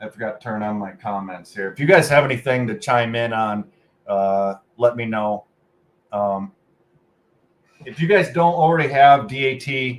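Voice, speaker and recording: A man at medium pitch with ordinary pitch variation, a moderate pace, long, frequent pauses and big swings in loudness. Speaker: freight broker trainer and channel host. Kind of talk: casual livestream commentary.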